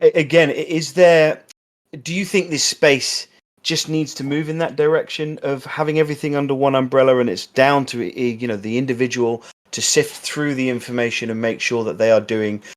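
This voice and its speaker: With an English accent, a man speaks at a medium pitch and ordinary pitch variation. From England. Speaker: podcast host. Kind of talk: interview.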